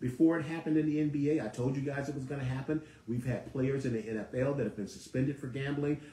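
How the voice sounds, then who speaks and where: An animated man with a fairly high pitch, amid noticeable background noise. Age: 60s. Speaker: sports talk host. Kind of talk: live sports talk monologue. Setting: live broadcast studio.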